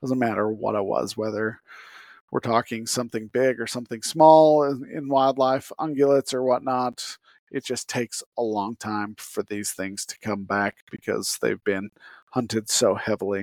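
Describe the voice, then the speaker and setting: A man with a plain, everyday voice talks at a moderate pace and medium pitch, with ordinary pitch variation. The sound is dry and close, with no echo. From Utah. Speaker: podcast host. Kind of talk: solo podcast monologue. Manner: casual.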